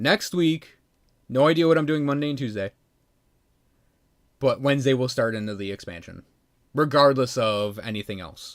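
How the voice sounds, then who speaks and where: A man with a Midwestern accent speaks at a moderate pace and medium pitch, taking long, frequent pauses. His loudness swings widely in a very clean recording with a silent background. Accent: flat Midwestern. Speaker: video game streamer. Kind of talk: casual livestream chat. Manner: casual, halting with fillers.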